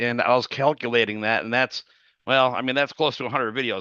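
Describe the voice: A man's clear, smooth voice at a medium pitch, with a bright, sharp tone and fairly even intonation.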